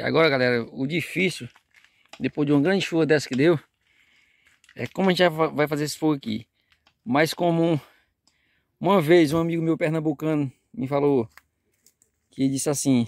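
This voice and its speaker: A man at a moderate pace with ordinary pitch variation, long, frequent pauses, and a dry sound with no echo. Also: quiet background. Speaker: fishing vlogger. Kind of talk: casual vlog chat. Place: waterside. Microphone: phone near.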